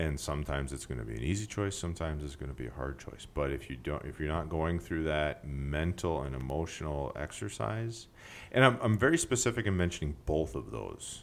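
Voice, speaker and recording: Speaking at a fairly quick pace with hardly any pauses, a man with a very deep, low pitch uses lively intonation. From Alaska (South Central). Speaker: podcast co-host. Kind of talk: casual chat.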